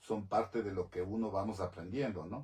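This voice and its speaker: The voice is somewhat breathy, moving at a moderate pace with ordinary pitch variation. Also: man. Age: 60s. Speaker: talk show host. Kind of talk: interview.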